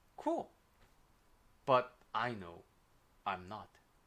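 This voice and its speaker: With a strong Korean accent, a man speaks in a bright, sharp tone. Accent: Korean, thick. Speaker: life coach. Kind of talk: livestream advice talk. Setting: livestream. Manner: casual, with fillers.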